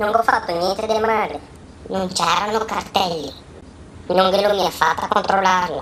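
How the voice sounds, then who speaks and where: In a put-on character voice, a woman speaks at a moderate pace and medium pitch with ordinary pitch variation and long, frequent pauses over clear background noise. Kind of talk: comic dialect parody dub. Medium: fan dub.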